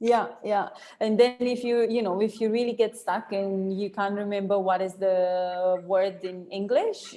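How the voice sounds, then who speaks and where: Over noticeable background noise, a woman talks at a moderate pace in a medium-pitched voice with fairly even intonation. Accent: non-native. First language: not English. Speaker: online course instructor. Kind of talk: online class teaching. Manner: casual, filler-heavy.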